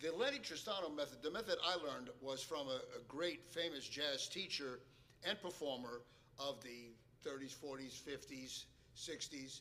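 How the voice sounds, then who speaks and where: There is audible room echo around a man with a fairly high pitch and a bright, sharp tone. He talks at a moderate pace with ordinary pitch variation. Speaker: jazz pianist and piano teacher. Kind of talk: lecture. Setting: stage with audience.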